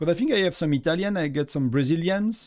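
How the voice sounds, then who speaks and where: A man with a French accent speaks at a fairly quick pace. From France. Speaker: gaming streamer. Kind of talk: live stream chat. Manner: casual, halting with fillers.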